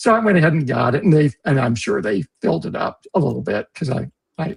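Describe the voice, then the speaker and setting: A man with a fairly high voice and vocal fry talks at a fairly quick pace with very wide pitch swings. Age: 60s. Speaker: livestream host. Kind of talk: casual chat. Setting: livestream. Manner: halting.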